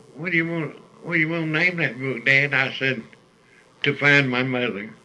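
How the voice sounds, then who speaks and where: There is noticeable background noise. A man with a fairly high pitch speaks at a moderate pace with ordinary pitch variation. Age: 80s+. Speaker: oral history interviewee, former CCC worker. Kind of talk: oral history interview. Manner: halting.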